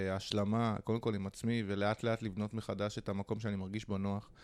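A man talks with an ordinary speaking voice at a moderate pace and fairly low pitch. His intonation is fairly even, and the recording is very clean with a silent background. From Israel (Holon). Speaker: hostel entrepreneur. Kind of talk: interview.

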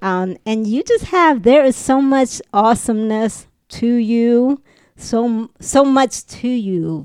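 A woman with a high pitch and lively intonation talks at a fairly slow pace in a dry, close sound with no echo. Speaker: podcast host. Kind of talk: casual chat.

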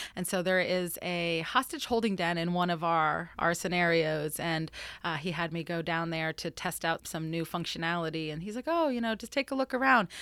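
In an American accent, a woman with a fairly low pitch and ordinary pitch variation speaks in an unremarkable speaking voice on a very clean recording with a silent background. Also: moderate pace. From Florida. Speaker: research forensic scientist. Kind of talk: casual interview.

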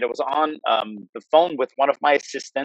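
The sound is dry and close, with no echo. A man with an American accent speaks at a fairly high pitch. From US Northeast, New Jersey. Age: 40s. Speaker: martial arts instructor. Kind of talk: interview.

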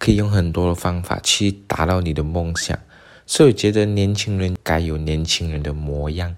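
This man's voice is very deep and low. He speaks at a moderate pace with ordinary pitch variation. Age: 20s. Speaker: podcast host. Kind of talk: solo podcast talk.

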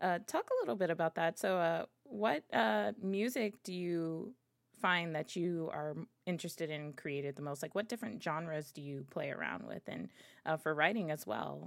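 A woman with an American accent, an ordinary speaking voice, fairly low pitch and lively intonation, at a moderate pace on a very clean recording with a silent background. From Miami, Florida. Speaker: podcast host. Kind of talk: interview.

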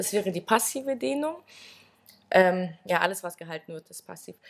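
Her fairly low voice carries noticeable vocal fry. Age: 20s. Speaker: gymnastics and stretching coach, former national champion. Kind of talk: interview.

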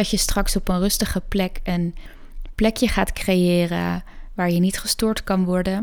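A woman of medium pitch, an ordinary speaking voice, fairly even intonation and a fairly slow pace. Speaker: yoga nidra guide and podcast host. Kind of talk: guided meditation. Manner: slow, soft, soothing; calm, gentle, with long pauses.

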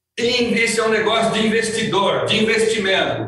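A man with a high voice talks at a moderate pace, with noticeable background noise and audible room echo. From Brazil, rural countryside. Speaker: company president, sales trainer. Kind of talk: motivational sales training. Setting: outdoors at his family farm. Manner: emphatic.

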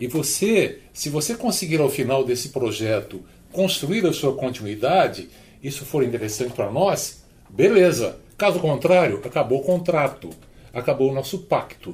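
A man talks at a moderate pace in a fairly high, somewhat breathy voice. His pitch swings very widely. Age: 70s. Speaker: work transition educator. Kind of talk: podcast panel discussion.

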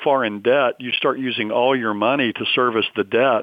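This man has a normal speaking voice, medium pitch, ordinary pitch variation, and a fairly quick pace. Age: 60s. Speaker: seminary professor and pastor, Bible prophecy author. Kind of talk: radio interview.

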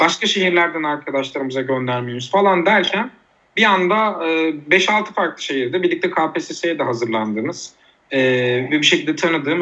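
Using an ordinary speaking voice, a man talks at a fairly quick pace with lively intonation and a fairly high pitch. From Turkey, Uşak. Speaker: art teacher and social entrepreneur. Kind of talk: podcast interview.

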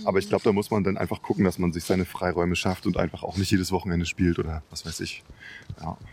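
A man with a very deep, low pitch rushes along at a very fast pace in a monotone, flat delivery. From Leipzig, Saxony, Germany. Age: 40s. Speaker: DJ and music producer. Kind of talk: casual chat. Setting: outdoors, walking in a park.

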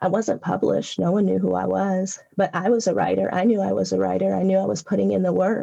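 Speaking with an American accent, a woman talks with hardly any pauses. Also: very even loudness. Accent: Southwestern US accent with Southern elements. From US West (California). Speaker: poet. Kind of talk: interview with poetry readings. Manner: excitable when talking; reads poems slower, conversational.

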